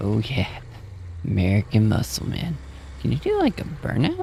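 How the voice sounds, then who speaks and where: Quiet and at a moderate pace, a man speaks. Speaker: gaming streamer. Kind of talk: casual live-stream commentary. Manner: quiet, talking low.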